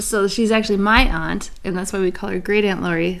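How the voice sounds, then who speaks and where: Speaking at a fairly quick pace, a woman with an American accent has an unremarkable speaking voice. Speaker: podcast co-host, mother. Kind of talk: casual chat.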